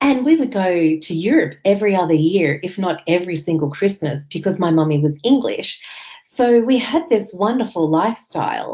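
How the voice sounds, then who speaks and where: Her intonation lively, a woman talks in an Australian accent. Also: medium pitch for a woman, moderate pace. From Australia, Sydney North Shore. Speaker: farmer. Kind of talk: interview. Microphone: connection dropped out.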